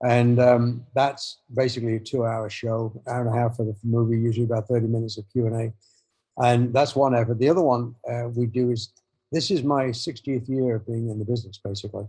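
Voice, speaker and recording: A man talks at a fairly quick pace in a somewhat breathy, dark, mellow tone, with a medium pitch and monotone, flat intonation. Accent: English. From England. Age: 70s. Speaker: motorcycle filmmaker and author. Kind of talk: interview conversation. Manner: halting.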